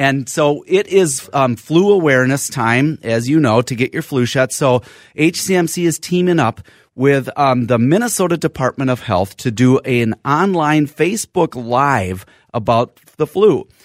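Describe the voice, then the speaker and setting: A man with an American accent uses a normal speaking voice at a fairly high pitch and a fairly slow pace. The sound is dry and close, with no echo. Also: lively intonation. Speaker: physician and radio host. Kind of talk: call-in radio health talk. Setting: radio studio.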